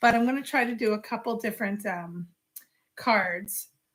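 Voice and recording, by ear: Doing a put-on character voice, a woman sounds raspy, with a fairly high pitch at a moderate pace.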